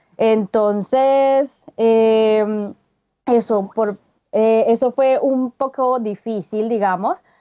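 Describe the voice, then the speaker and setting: A woman speaks with a Colombian accent at a very slow pace. Her loudness stays very even and her intonation fairly even. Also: fairly high pitch for a woman. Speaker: researcher. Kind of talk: radio interview.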